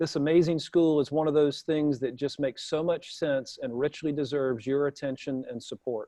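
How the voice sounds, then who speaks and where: A man with a Southern US accent speaks at a fairly high pitch with a dark, mellow tone. The sound is dry and close with no echo, and he hardly pauses at all. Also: fairly even intonation, moderate pace. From US South. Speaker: talk show host. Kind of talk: event host introduction; casual chat. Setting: live broadcast with audience in room.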